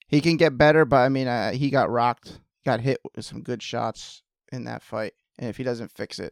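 Vocal fry in a man's medium-pitched voice, ordinary pitch variation, dry close sound with no echo, and a very clean recording with a silent background. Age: 30s. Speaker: MMA podcast co-host. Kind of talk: casual chat.

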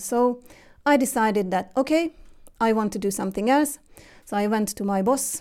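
A woman with a Hungarian accent speaks with a fairly high pitch in a dark, mellow tone. Her intonation is lively. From Hungary. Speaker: interview guest, mother. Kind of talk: casual interview. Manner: halting.

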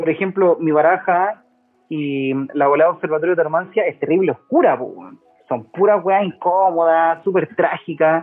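Here a man talks with a Chilean accent. His pitch is high and his pace fairly quick. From Chile, Quilpué (Valparaíso region). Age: 30s. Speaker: naturopathic doctor. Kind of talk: casual chat.

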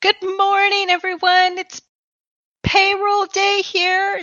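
Using a squeaky put-on character voice, a woman speaks at a fairly slow pace in an extremely high pitch with monotone, flat intonation. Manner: cheery, chipper.

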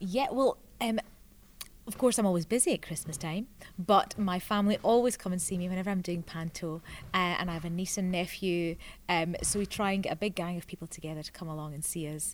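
A woman with a Scottish accent talks at a fairly quick pace on a very clean recording with a silent background. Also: medium pitch for a woman, ordinary pitch variation. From southwest Scotland. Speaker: actress and children's TV presenter. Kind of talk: casual interview.

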